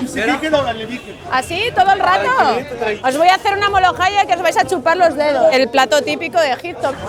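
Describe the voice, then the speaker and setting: Crowd noise fills the background as a woman speaks at an extremely high pitch with lively intonation and very even loudness. She talks at a fairly quick pace yet leaves long, frequent pauses. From Spain, Getafe (Madrid). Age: 40s. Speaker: Spanish expat tour guide. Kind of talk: casual tour narration.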